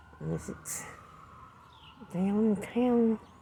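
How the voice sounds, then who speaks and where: A woman talks very slowly as noticeable background noise plays behind her. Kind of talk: casual talk to camera.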